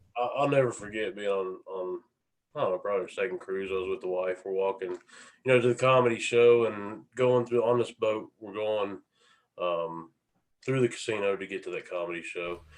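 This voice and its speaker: Against a quiet background, a man with a Southern US accent speaks in a fairly low pitch with ordinary pitch variation. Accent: southern drawl. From Appalachian US. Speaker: SolidWorks user group member. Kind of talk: casual chat.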